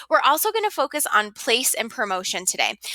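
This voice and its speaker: Projecting a raised voice at a fairly quick pace, a woman speaks in a bright, sharp tone with very wide pitch swings, in dry, close sound with no echo. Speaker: high school teacher. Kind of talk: lecture. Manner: fast.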